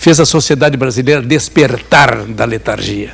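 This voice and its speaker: A man is speaking. His pace is fairly slow. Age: 80s+. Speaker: journalist and former political prisoner. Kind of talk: lecture. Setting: seminar talk with audience. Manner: conversational with hesitations and repetitions.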